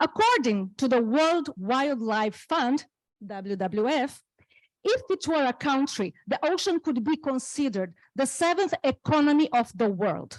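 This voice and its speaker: A woman with a non-native accent speaks at a fairly slow pace with a high pitch and very wide pitch swings. Her loudness stays very even, and the sound is dry and close with no echo. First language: not English. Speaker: panel speaker. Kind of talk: reading aloud prepared talk.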